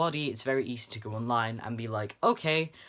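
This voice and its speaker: A man's medium-pitched voice with a bright, sharp tone, ordinary pitch variation and a moderate pace, in a very clean recording with a silent background. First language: not English. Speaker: video blogger. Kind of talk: unscripted monologue. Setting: home, sitting on bedroom floor. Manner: halting.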